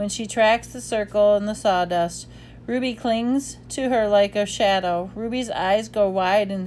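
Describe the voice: The pitch varies to an ordinary degree. Someone reads aloud plainly.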